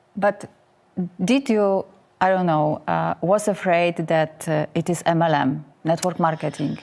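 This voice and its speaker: In a Polish accent, a woman speaks at a fairly slow pace and fairly low pitch, with very even loudness, ordinary pitch variation and a very clean recording over a silent background. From Poland. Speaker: show host. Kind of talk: interview. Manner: halting.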